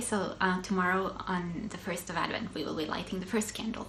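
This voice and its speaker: With audible room echo, a woman in a Swedish accent speaks at a moderate pace. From Finland, Swedish-speaking Ostrobothnia. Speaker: knitting podcaster. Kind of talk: casual chat. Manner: hesitant, many fillers.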